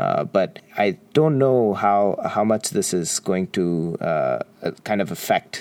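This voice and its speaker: A man's fairly low voice over noticeable background noise. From Qatar, Indian expatriate community. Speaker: podcast co-host, software developer. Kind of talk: casual chat. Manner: halting, many fillers.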